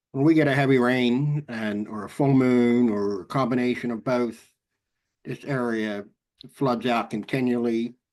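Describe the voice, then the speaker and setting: With an American accent, a man speaks at medium pitch and a moderate pace. His intonation is fairly even, and the background is quiet. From South Jersey, US. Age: 60s. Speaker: emergency management official. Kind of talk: class discussion.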